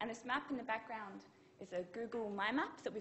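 Speech comes at a fairly quick pace with light background noise. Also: woman. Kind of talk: conference talk. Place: hall.

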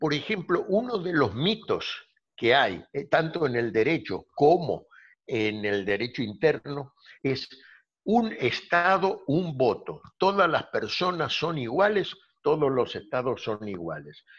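A man with a fairly high pitch speaks at a very slow pace against a quiet background. His voice has vocal fry and very wide pitch swings. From Argentina, Buenos Aires. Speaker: law professor. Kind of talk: interview. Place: home room. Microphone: video call.

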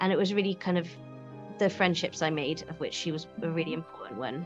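Clear music plays behind a woman with a Welsh accent and a fairly low pitch. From Wales. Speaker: actress. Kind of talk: interview answer. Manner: casual, chatty. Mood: warm, amused. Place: studio.

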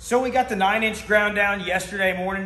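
A man speaks very fast with ordinary pitch variation, and room echo can be heard. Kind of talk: casual vlog chat. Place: garage. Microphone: camera far.

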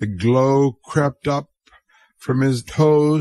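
Over a quiet background, a natural reading voice moves with fairly even intonation.

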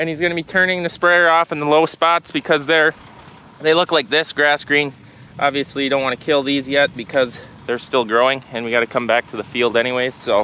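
The speech moves at a fairly quick pace with ordinary pitch variation. The sound is dry, with no echo. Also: man. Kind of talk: casual vlog chat. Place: open country. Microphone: phone near.

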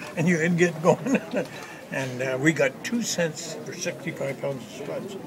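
With crowd noise in the background, a man speaks at a fairly slow pace and fairly high pitch with ordinary pitch variation. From Washington. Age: 80s+. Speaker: western artist. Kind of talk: interview answer. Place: hall.

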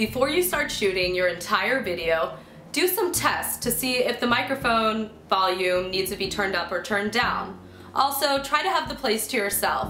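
A woman speaks in a room with audible echo and light background noise. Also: moderate pace. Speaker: video host. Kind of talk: tutorial. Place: home room.

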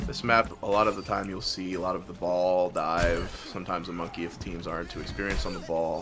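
A man talks at a very fast pace in a very deep, low voice with fairly even intonation. Noticeable background noise runs beneath him. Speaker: esports caster. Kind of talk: live commentary.

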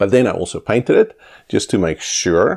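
The background stays quiet. Against it, a man talks at a moderate pace. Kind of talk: tutorial. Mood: relaxed, lightly humorous. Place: home room.

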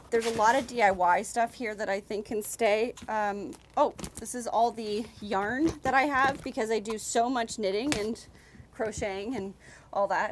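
Noticeable background noise is present throughout. The voice moves at a moderate pace, its pitch varying in an ordinary way. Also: woman. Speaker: vlogger. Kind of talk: casual vlog chat. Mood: playful, self-mocking.

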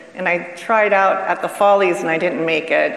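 Audible room echo accompanies speech at a moderate pace. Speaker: retired showgirl and dancer. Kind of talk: panel discussion, reminiscing. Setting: stage with live audience. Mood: warm reminiscing. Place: stage.

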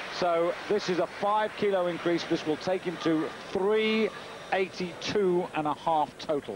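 A man at a high pitch, very slow in pace, with fairly even intonation and very even loudness, over noticeable background noise. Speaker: sports commentator. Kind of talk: live sports commentary, play-by-play. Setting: broadcast commentary. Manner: brisk, informative, steady; measured, stats-heavy.

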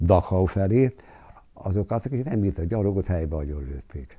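A man's very deep, low voice, dark and mellow in tone and somewhat breathy, at a moderate pace against a quiet background. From southern Slovakia, Hungarian minority. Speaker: war eyewitness; witness. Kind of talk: interview testimony. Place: home room. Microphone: lapel.

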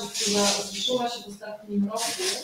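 A woman's voice carries audible room echo over loud background noise. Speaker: activist moderating a press conference. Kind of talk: press conference. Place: meeting room.

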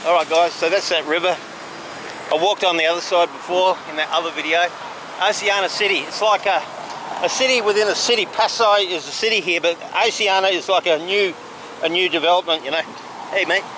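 With an Australian accent, the speaker talks at a fairly quick pace with fairly even intonation and long, frequent pauses, in a dry sound with no echo over noticeable background noise. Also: man, high pitch for a man. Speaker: travel vlogger. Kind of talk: casual vlog narration while walking. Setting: outdoors. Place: street. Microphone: phone near.

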